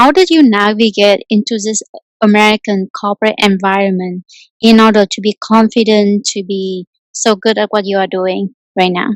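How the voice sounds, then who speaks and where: This woman has a normal speaking voice and a medium pitch. She talks at a moderate pace with fairly even intonation. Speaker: interviewer. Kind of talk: interview question.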